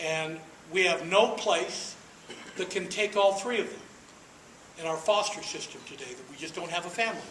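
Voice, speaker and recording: The speech moves at a moderate pace with ordinary pitch variation, big swings in loudness and long, frequent pauses. Noticeable background noise and audible room echo fill the recording. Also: man, high pitch for a man. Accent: American. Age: 60s. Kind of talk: speech to an audience. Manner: emphatic, repetitive rhetorical delivery.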